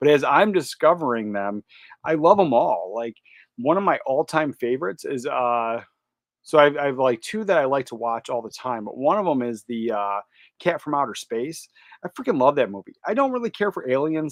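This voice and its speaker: A man with an American accent has a normal speaking voice and medium pitch. He talks at a fairly quick pace with lively intonation and big swings in loudness. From California. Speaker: YouTuber, movie collector. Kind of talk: live stream casual chat. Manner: casual, filler-heavy.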